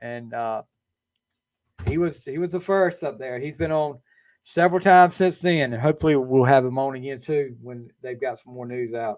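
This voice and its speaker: Against a quiet background, a Southern US accent comes through at a moderate pace with big swings in loudness. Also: man, medium pitch for a man, ordinary pitch variation. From eastern North Carolina, US South. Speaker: podcast host. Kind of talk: casual chat. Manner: halting, many fillers.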